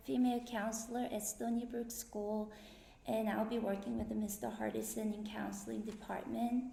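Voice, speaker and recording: A woman's fairly high voice at a moderate pace, with audible room echo and noticeable background noise. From Korea. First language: Korean. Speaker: school counselor. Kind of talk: self-introduction speech. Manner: slightly halting.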